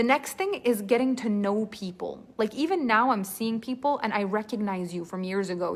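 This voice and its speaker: A woman in a French-Canadian accent, medium in pitch, with ordinary pitch variation and a fairly quick pace. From Quebec. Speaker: storytelling coach. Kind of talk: live online class. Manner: animated.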